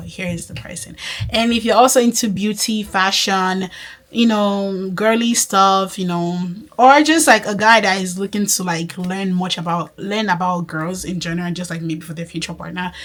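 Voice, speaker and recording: A woman's medium-pitched voice in an American accent, at a moderate pace with ordinary pitch variation, amid noticeable background noise. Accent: switches between Nigerian and American. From Nigeria. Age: 20s. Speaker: faith and lifestyle vlogger. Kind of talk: casual vlog talk to camera. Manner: animated.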